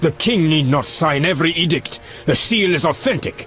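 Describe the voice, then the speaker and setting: Over clear background noise, a man puts on a high-pitched character voice at a moderate pace, with very even loudness and ordinary pitch variation. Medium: short film. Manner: haughty, contemptuous.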